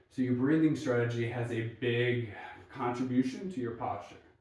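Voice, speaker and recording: At a moderate pace, a man talks at a medium pitch with fairly even intonation, and audible room echo surrounds him. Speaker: mobility coach. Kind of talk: follow-along exercise instruction.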